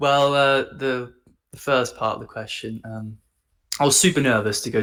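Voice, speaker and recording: With an English accent, a man speaks at a moderate pace and keeps a fairly even intonation. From England. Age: 20s. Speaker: copywriter. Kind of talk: casual chat. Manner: halting.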